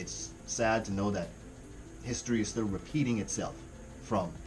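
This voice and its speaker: Music plays in the background as a man speaks with a slight Jamaican accent and audible room echo. His fairly low pitch shows ordinary variation at a moderate pace. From Caribbean. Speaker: music reaction youtuber. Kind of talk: casual reaction commentary. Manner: animated.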